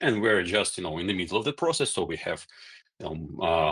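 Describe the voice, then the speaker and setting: A man with a non-native accent and ordinary pitch variation, on a very clean recording with a silent background. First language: not English. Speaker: company founder. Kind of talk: Q&A session. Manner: halting, many fillers and repetitions.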